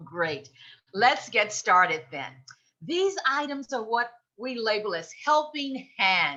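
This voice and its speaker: Her voice is loud and fairly high, with very wide pitch swings. The woman speaks at a very slow pace. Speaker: presenter for a seniors' advocacy group. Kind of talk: presentation.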